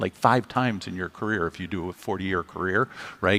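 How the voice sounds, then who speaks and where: His tone animated, a man talks with ordinary pitch variation. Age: 60s. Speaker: tech company CEO. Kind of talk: fireside chat on stage. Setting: stage with audience.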